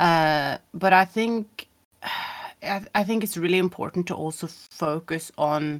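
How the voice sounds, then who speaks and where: A woman's fairly low-pitched voice, an ordinary speaking voice with ordinary pitch variation, at a fairly slow pace in a very clean recording with a silent background. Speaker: game streamer. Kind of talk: casual interview chat.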